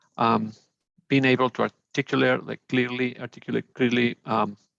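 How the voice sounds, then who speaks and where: With a Spanish accent, a man talks at a moderate pace in a monotone, flat intonation, the sound dry and close with no echo. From Mexico. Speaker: alumnus, engineer. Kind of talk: webinar panel discussion. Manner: halting, many fillers.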